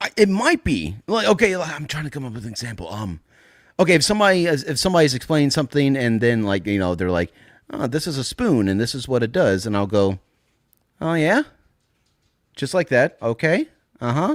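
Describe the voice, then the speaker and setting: A man talks at a fairly quick pace with very wide pitch swings and long, frequent pauses, recorded very cleanly with a silent background and a dry, close, echo-free sound. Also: medium pitch for a man. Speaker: podcast co-host. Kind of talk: casual chat. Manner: unintentionally sarcastic-sounding inflection.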